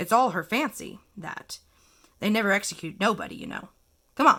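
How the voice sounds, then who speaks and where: A woman puts on a raspy character voice at medium pitch and a moderate pace. Her loudness swings widely. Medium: read story. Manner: casual, dismissive.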